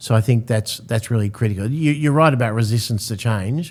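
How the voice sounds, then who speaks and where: On a very clean recording with a silent background, a man with an Australian accent speaks fairly quickly, his pitch fairly low with ordinary variation. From Australia (Sydney). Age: 60s. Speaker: real estate agency founder and CEO. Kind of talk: podcast interview.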